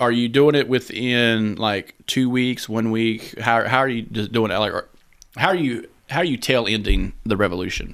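Heard in a very clean recording over a silent background, a man with an American accent uses a plain, everyday voice at medium pitch, ordinary pitch variation, and a moderate pace. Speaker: podcast host. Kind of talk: casual banter comedic chat. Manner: profane, joking.

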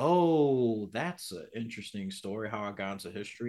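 Speaking at a moderate pace, a man with a New York accent uses a medium pitch and ordinary pitch variation. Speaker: podcast guest, history buff. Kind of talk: casual political chat.

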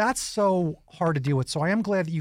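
Recorded very cleanly against a silent background, a man with an American accent uses a normal speaking voice at a fairly high pitch, moderate pace, and ordinary pitch variation. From New York. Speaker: radio host. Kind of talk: interview.

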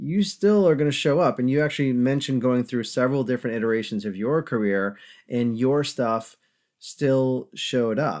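A man speaks at a moderate pace with a medium pitch and ordinary pitch variation, in a plain, everyday voice with an American accent. The recording is very clean, with a silent background. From upstate New York. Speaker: podcast host, leadership coach. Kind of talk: interview.

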